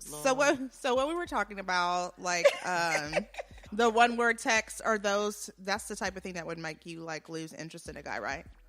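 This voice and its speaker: A woman speaks in a plain, everyday voice, her loudness swinging widely and her intonation lively. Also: medium pitch for a woman, moderate pace. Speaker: podcast host. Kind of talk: casual podcast talk.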